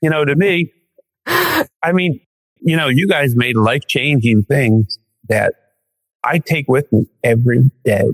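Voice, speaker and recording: Lively intonation marks a man speaking at a fairly slow pace. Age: 60s. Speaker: hiking client. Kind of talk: podcast interview.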